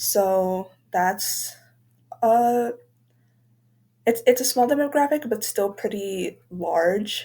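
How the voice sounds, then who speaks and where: A woman speaks at a very slow pace with a dark, mellow tone. The recording is very clean, with a silent background. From southern Arizona, near Mexico border. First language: Spanish. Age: 20s. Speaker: student. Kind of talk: class presentation.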